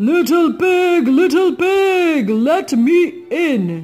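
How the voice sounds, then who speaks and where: A man's put-on character voice at a very slow pace, with faint music in the background. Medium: read story.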